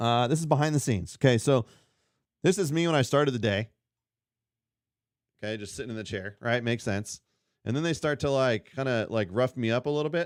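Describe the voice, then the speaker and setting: Medium-pitched male speech with ordinary pitch variation and long, frequent pauses. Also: fairly quick pace. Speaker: YouTuber and mountain biker. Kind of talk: livestream chat reading super chats. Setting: livestream. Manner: animated.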